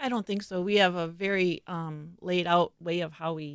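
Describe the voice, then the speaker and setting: A woman with a Wisconsin accent, her pitch fairly low and her intonation fairly even, in a dry, close recording with no echo, very clean and with a silent background. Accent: Upper Midwest (Wisconsin). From Milwaukee, Wisconsin (South Side). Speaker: interior designer at a remodeling company. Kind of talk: interview. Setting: studio.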